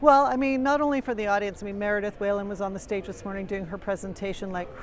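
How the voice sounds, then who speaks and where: In a room with audible echo, a woman with a Canadian accent talks very fast at a medium pitch with ordinary pitch variation. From Canada. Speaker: executive director and podcast host. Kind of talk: interview. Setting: media booth at a conference.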